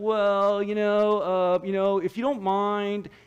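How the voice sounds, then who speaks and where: A man's put-on character voice, high-pitched and mumbling, with monotone, flat intonation at a fairly slow pace. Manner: hesitant, mumbling, timid.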